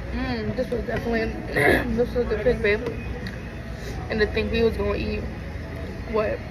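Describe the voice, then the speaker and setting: Loud background noise surrounds a woman talking at a moderate tempo. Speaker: food vlogger. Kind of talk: casual mukbang review chat. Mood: relaxed, pleased. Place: cafe.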